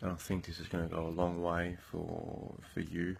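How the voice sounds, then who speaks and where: Soft-spoken and monotone, a man talks with flat intonation in a very deep, low pitch. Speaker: motivational vlogger. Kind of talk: motivational monologue. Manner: halting.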